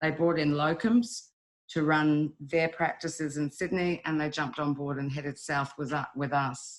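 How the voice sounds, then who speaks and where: A woman with a New Zealand accent speaks at a moderate pace in a very deep, low pitch with ordinary pitch variation. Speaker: wildlife rescue volunteer leader. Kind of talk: webinar presentation. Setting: online webinar. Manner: hesitant, many fillers.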